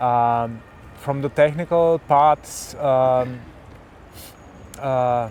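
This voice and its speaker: Over noticeable background noise, a man speaks with a German accent and fairly even intonation. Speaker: tech vlogger. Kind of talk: casual chat. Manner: halting, many fillers.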